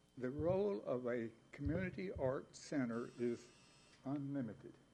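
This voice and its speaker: Lively intonation carries a man's dark, mellow tone. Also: medium pitch for a man, moderate pace. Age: 70s. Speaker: public commenter, amateur artist. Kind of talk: public comment at city board meeting.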